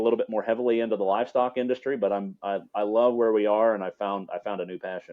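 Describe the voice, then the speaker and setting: A man talks at a fairly quick pace in a medium pitch. It is a normal speaking voice. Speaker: champion auctioneer. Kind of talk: podcast interview answer, conversational.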